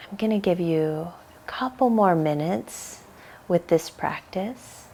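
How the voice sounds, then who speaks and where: A soft-spoken woman talks at a fairly slow pace. Her fairly low voice has lively intonation. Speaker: yoga teacher. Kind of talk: guided meditation.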